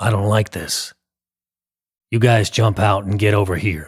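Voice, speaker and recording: Putting on a character voice, a man speaks at a moderate pace in a raspy, fairly low voice with fairly even intonation. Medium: read story. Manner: gruff, bossy.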